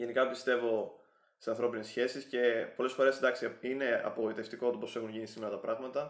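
A man's medium-pitched voice runs at a fairly quick pace, its intonation monotone and flat. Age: 20s. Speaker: YouTuber giving relationship advice. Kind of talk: vlog monologue.

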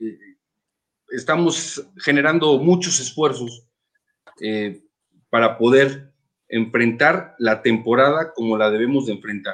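A man with a medium pitch talks very slowly, leaving long, frequent pauses, his pitch varying in an ordinary way. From Mexico City. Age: 30s. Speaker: sports team owner. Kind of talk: interview.

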